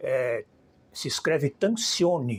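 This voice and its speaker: A man speaks in a somewhat breathy voice. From Brazil, São Paulo. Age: 70s. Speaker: filmmaker. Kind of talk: interview.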